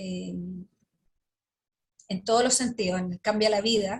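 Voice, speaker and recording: Her voice somewhat breathy, a woman talks in a fairly high pitch with fairly even intonation. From Chile, Santiago. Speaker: Justice minister, sociologist. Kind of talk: interview answer.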